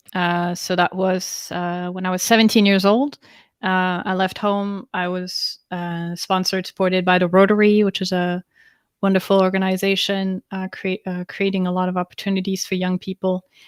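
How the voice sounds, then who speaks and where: With a French accent, a woman speaks at a medium pitch and a moderate pace in a monotone, flat intonation, captured in a very clean recording with a silent background and a dry, close sound with no echo. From France. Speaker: interview guest. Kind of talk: live interview.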